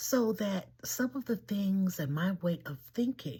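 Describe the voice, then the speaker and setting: A woman with an American accent speaks very slowly at a medium pitch, her somewhat breathy voice swinging very widely in pitch. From Washington, D.C., US. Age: 80s+. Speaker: elder sharing life memories. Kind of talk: personal storytelling monologue.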